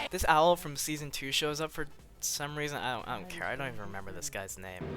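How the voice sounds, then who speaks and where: This man talks at a very fast pace, his pitch fairly high and swinging very widely. Music plays in the background. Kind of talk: casual review commentary. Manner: casual, rambling.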